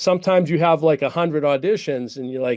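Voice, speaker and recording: This man talks at a very fast pace in a dark, mellow tone with ordinary pitch variation. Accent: Boston. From Boston's North Shore, Massachusetts. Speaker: actor and stuntman. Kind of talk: casual interview chat. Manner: repeats words, stammering starts.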